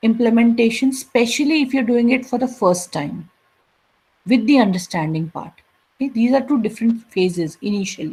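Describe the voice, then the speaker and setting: The speaker is a woman with a fairly high voice. Her pitch swings very widely. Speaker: college lecturer. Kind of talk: lecture. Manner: slow.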